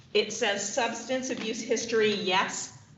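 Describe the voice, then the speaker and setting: Over noticeable background noise and audible room echo, a woman with a fairly high pitch talks at a very slow pace with fairly even intonation. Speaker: defense attorney. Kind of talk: court hearing. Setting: courtroom podium. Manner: formal.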